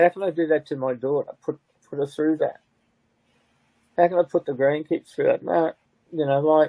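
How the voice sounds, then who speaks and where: A man with an Australian accent speaks at a fairly high pitch and moderate pace. His intonation is fairly even, broken by long, frequent pauses. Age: 70s. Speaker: bereaved father. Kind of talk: interview. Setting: live stream.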